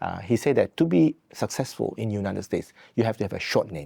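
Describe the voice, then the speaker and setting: A man with a dark, mellow tone and vocal fry speaks at a fairly quick pace and medium pitch, swinging very widely. The recording is very clean, its background silent. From Malaysia. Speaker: university president. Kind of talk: interview.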